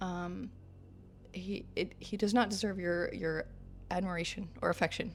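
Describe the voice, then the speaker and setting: This woman speaks at a medium pitch with fairly even intonation and a somewhat breathy quality. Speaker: digital artist. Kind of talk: casual talk over speedpaint, character backstory.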